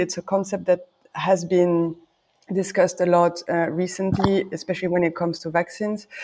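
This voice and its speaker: A woman speaks with a French accent. Her tone is dark and mellow. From France. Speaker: podcast host, party committee member. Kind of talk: interview. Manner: halting.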